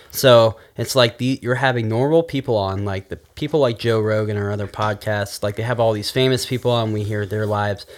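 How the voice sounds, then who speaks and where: A man talks in an ordinary speaking voice at medium pitch and a fairly quick pace. His intonation is fairly even, with hardly any pauses. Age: 20s. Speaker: podcast guest, former web show host. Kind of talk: casual chat.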